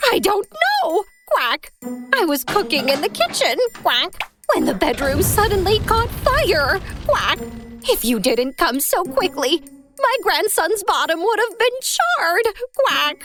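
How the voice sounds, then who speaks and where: A cartoonish character voice sits at an extremely high pitch and swings very widely in pitch, delivered at a fairly slow pace. Faint music plays in the background. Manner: punctuates every sentence with quacks.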